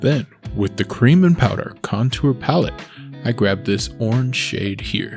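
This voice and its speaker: With music playing behind, the voice moves at a fairly slow pace and has lively intonation. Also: man, medium pitch for a man. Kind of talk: comedic makeup tutorial voiceover.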